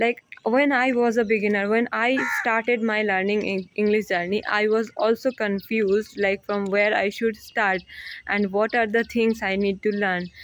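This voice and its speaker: Speaking with a Bengali accent, a woman keeps a fairly high pitch, fairly even intonation, very even loudness and a moderate pace. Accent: Indian (Bengali) English. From India, West Bengal. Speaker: English learning vlogger. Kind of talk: casual vlog talk to camera. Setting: outdoors on a terrace, walking. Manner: halting, with fillers.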